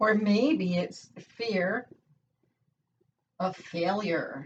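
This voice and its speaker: This woman's somewhat breathy voice sits at a medium pitch, with ordinary pitch variation. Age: 60s. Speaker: motivational YouTuber. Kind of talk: motivational talk to camera. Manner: animated.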